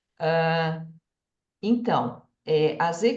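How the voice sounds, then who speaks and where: With audible room echo, a woman with a fairly low pitch speaks in a lively intonation. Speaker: microbiology researcher. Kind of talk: lecture.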